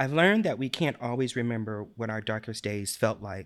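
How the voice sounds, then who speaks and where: A man with a normal speaking voice and a medium pitch talks at a moderate pace with ordinary pitch variation, in a very clean recording with a silent background. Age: 40s. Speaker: patient living with depression. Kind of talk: casual interview.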